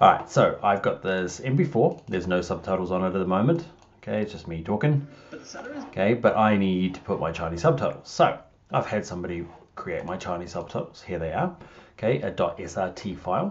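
A normal speaking voice at a fairly quick pace. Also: man, fairly low pitch for a man. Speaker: software tutorial narrator. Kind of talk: tutorial. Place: home room. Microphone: webcam.

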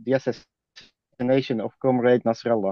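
This man has an ordinary speaking voice at a medium pitch. He talks at a moderate pace with fairly even intonation. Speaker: activist. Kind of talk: reading aloud. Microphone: dodgy internet connection.

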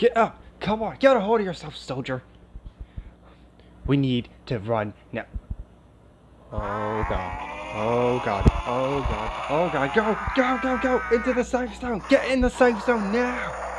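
A man puts on a character voice, pitched high and swinging very widely. He goes at a fairly slow pace with long, frequent pauses. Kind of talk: ASMR role play. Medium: role play. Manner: shouting, urgent.

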